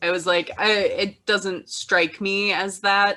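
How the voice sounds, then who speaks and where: A woman speaks with an American accent. Her pitch is medium. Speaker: podcast co-host. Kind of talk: casual chat.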